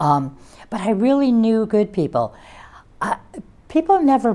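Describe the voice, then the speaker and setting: Her dark, mellow tone moves through very wide pitch swings as this woman speaks with an American accent. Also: very clean recording, silent background. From US Midwest, Chicago. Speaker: Vatican journalist. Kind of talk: interview.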